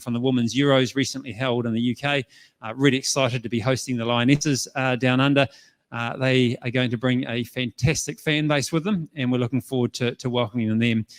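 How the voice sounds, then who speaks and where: Using fairly even intonation, a man with a New Zealand accent speaks at a fairly quick pace and a medium pitch. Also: dry, close sound with no echo. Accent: Kiwi. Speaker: tournament organiser. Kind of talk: conference presentation. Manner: fast.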